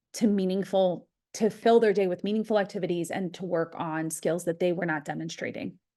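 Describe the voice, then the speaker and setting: The speaker has a normal speaking voice with an American accent. Pitch varies in an ordinary way over a quiet background. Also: woman. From US East Coast. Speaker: behavior analyst. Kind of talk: webinar presentation.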